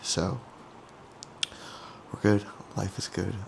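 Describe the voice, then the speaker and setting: A man speaks with a very deep, low pitch. Noticeable background noise runs underneath. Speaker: bodybuilder vlogger. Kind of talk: casual vlog. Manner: quiet.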